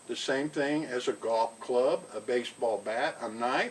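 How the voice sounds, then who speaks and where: A man's unremarkable speaking voice at a medium pitch, fairly slow in pace, with ordinary pitch variation. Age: 60s. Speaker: outdoor vlogger. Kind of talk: casual talk to camera. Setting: outdoors on cabin porch. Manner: relaxed, unhurried.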